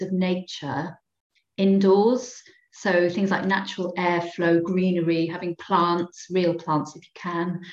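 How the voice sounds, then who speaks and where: A woman with a Cardiff accent speaks fairly slowly at a medium pitch, with big swings in loudness. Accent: Welsh (Cardiff). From Wales, inner-city Cardiff. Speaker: psychologist and engagement manager. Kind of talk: casual interview.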